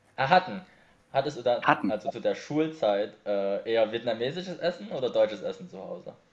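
Pitch swings very widely and loudness rises and falls a lot. The pace is fairly quick, with vocal fry throughout. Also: man, fairly high pitch for a man. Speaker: video podcast host. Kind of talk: casual interview chat.

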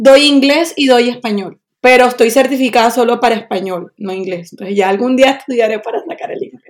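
A woman speaks fairly quickly in a high voice, with hardly any pauses. Her intonation is lively and her loudness swings widely. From Colombian Caribbean coast, Barranquilla. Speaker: Spanish teacher. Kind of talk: interview.

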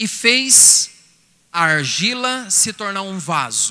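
A man speaks in a raised, projected voice. His pitch varies in an ordinary way. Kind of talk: sermon, preacher in full flow, exhorting and pleading with the crowd. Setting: stage with audience at a retreat event. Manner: fervent, animated, rising and emphatic, direct address to the audience.

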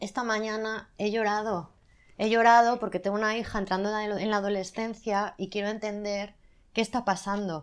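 On a very clean recording with a silent background, a woman speaks at a fairly high pitch in a monotone, flat delivery. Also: moderate pace. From Spain, Zaragoza (Aragon). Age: 40s. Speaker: magazine editor. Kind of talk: casual interview. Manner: loud at times.

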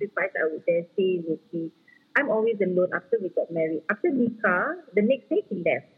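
A woman's medium-pitched voice in a Singaporean accent, fairly quick and with lively intonation. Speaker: footballer's wife. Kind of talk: casual interview chat. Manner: code-switching English and Malay.

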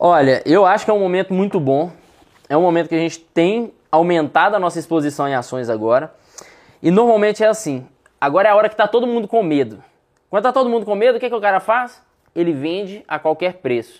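With lively intonation, a man speaks very fast in a high voice. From Brazil, Minas Gerais (Contagem, Belo Horizonte, Sete Lagoas). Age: 30s. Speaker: investment fund founder. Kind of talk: casual interview chat. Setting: studio.

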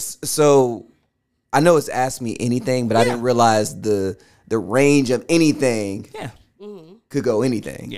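A man speaks at a fairly slow pace with long, frequent pauses. His pitch is medium, with ordinary variation. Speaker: podcast guest asking audience-style questions.

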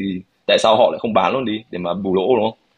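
The man's voice sits fairly low. He speaks at a very fast pace. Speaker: podcast co-host. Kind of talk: casual discussion with English code-switching.

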